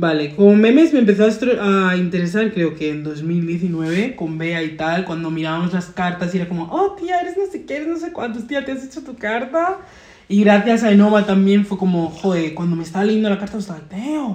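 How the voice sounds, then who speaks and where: A woman at medium pitch and a fairly quick pace, with lively intonation over noticeable background noise. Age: 20s. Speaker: guest, astrology enthusiast. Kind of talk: casual chat. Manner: uneven volume, loud then suddenly quiet; code-switching Spanish and English.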